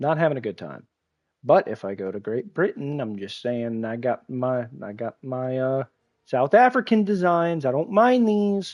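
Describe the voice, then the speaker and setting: This man speaks at medium pitch and a moderate pace, with very wide pitch swings and big swings in loudness. The sound is dry and close, with no echo. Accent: American. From United States. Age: 20s. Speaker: gaming streamer. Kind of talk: live gameplay stream chat.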